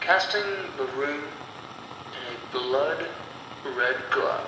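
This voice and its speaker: A man speaks over noticeable background noise. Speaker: horror storyteller / audio story narrator. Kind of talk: horror audio story narration.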